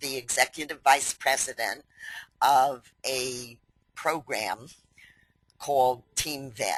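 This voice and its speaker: A woman with a New York accent speaks very slowly in a very deep, low voice with a bright, sharp tone. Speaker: company president hosting webinar. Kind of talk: webinar introduction. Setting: online webinar.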